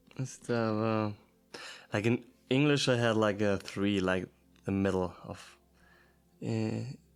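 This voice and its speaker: A man with a German accent at a fairly low pitch, with fairly even intonation, a very slow pace and long, frequent pauses. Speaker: language learner vlogger. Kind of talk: casual language practice. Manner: halting.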